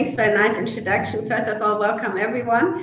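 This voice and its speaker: In a room with audible echo and noticeable background noise, a woman with a German accent speaks at a fairly high pitch with ordinary pitch variation. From Germany. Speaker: e-commerce merchandising executive. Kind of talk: panel webinar discussion. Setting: online webinar. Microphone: technical issues just resolved.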